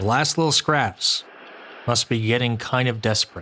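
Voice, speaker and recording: Noticeable background noise sits under a voice speaking at a moderate pace with ordinary pitch variation. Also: man. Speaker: YouTube reaction commentator. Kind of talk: reaction commentary.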